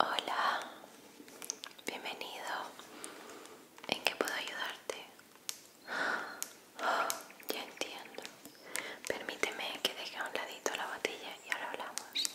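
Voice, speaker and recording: Soft-spoken and whispering, a woman talks with long, frequent pauses. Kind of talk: soft role-play talk to viewer. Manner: soft close ASMR whisper as fairy. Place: home room. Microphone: studio mic.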